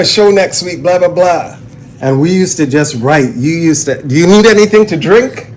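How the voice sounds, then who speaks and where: A man with high pitch and ordinary pitch variation at a fairly quick pace, over noticeable background noise. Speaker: MC, radio jingle voice. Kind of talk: casual interview conversation.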